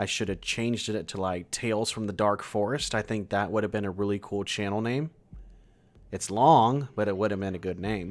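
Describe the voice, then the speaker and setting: This man has an unremarkable speaking voice with an American accent, fairly low in pitch with ordinary pitch variation. He talks at a moderate pace on a very clean recording with a silent background. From California. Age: 30s. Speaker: horror story channel host. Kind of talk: livestream chat reading viewer comments. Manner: casual, relaxed.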